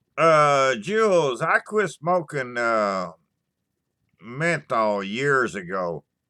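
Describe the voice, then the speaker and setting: Very slow and bright, sharp in tone, a man's medium-pitched voice swings very widely in pitch. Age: 60s. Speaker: YouTuber doing live stream. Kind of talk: casual live chat. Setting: live stream. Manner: halting, many fillers.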